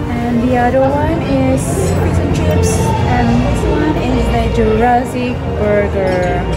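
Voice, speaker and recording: Against loud background music, a woman speaks at a very slow pace. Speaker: vlogger filming the meal. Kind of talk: casual vlog chat. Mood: cheerful and excited. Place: cafe. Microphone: phone near.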